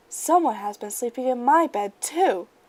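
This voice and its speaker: A woman's high-pitched, put-on character voice. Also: moderate pace. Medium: read story.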